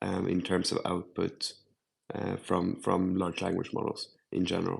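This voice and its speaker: A man speaks with a Swedish accent. He keeps a moderate pace. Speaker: AI panelist. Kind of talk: panel discussion.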